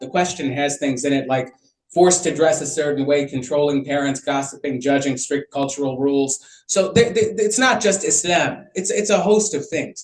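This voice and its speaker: This man has a Chicago accent and a fairly high pitch. He talks with hardly any pauses. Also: ordinary pitch variation, moderate pace. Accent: Chicago American English. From US Midwest, Chicago. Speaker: physician speaking on mental health. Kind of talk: panel talk. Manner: halting, many repetitions.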